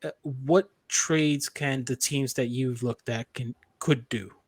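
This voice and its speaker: A Puerto Rican accent in a dry, close sound with no echo. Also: man. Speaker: sports podcast host. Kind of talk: casual chat. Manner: halting, many repetitions.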